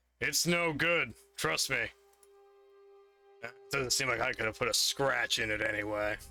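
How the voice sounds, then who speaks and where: A man's raspy, put-on character voice at medium pitch, moderate in pace with long, frequent pauses, over faint music in the background. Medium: actual play. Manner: relaxed, thoughtful.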